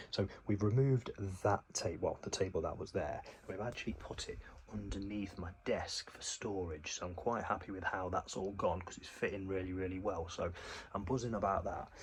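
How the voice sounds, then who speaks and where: A quiet, somewhat breathy man with an English accent, fairly quick and fairly even in intonation, with big swings in loudness. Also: fairly low pitch for a man. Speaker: gaming vlogger. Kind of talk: casual vlog. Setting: at home.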